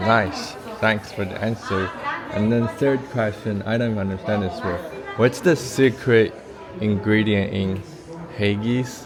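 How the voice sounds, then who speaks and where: With crowd noise in the background, a man with a fairly low pitch and ordinary pitch variation speaks at a fairly slow pace with long, frequent pauses. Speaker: street interviewer.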